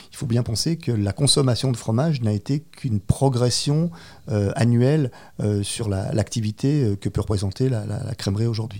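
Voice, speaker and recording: A man speaks at a fairly slow pace in a dark, mellow tone. His medium pitch is somewhat breathy and shows ordinary variation. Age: 50s. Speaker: cheesemonger. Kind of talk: interview.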